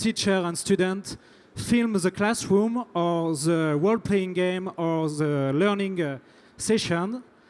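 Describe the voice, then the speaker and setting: Speaking very slowly, a man with a French accent uses a high pitch and ordinary pitch variation. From France. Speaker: startup founder. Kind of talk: pitch presentation. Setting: stage at tech event. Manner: halting, repeats words.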